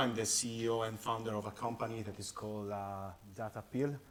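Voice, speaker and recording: A fairly low-pitched man with an Italian accent, with audible room echo. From Italy. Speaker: company founder and CEO. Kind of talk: conference presentation. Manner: halting, many fillers.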